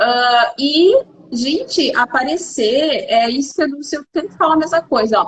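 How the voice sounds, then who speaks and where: The intonation is lively. The pace is fairly slow. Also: woman. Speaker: beautician and channel host. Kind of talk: casual interview chat.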